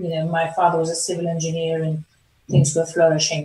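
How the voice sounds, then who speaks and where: Somewhat breathy and fairly low in pitch, a woman speaks with a German accent. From Germany. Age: 60s. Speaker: performance coach. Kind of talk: interview.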